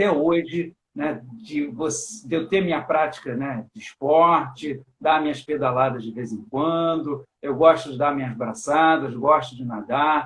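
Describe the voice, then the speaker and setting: With an unremarkable speaking voice, a man talks fairly slowly at a fairly high pitch, with ordinary pitch variation, big swings in loudness and hardly any pauses. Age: 50s. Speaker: teacher and live stream host. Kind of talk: casual chat. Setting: online live stream.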